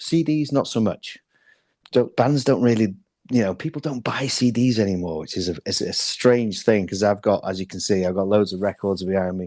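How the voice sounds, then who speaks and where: A man talks at a moderate pace with a slight Welsh accent. His pitch varies in an ordinary way, and the background is quiet. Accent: slight Welsh twang. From North Wales (Llandudno). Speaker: metal band drummer. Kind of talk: interview.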